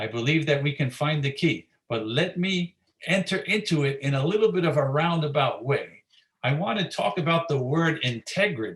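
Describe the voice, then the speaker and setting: A man with an American accent and a fairly high, somewhat breathy voice talks at a moderate pace with ordinary pitch variation. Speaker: pastor. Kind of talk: sermon delivered to a church congregation.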